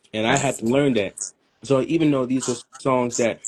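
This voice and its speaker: With a strong New York accent, a man speaks in fairly even intonation. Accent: thick New York. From Brooklyn, New York. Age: young. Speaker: musician. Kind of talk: interview.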